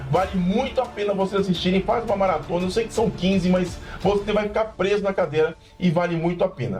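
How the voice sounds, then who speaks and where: Over music in the background, a man speaks at a high pitch in an animated tone. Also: fairly quick pace. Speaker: pop culture youtuber. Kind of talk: casual review monologue. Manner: fast.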